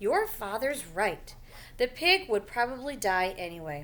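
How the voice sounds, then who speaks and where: A woman performs a put-on character voice. Her pitch swings very widely. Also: fairly high pitch for a woman, moderate pace. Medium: read story. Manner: brisk, matter-of-fact.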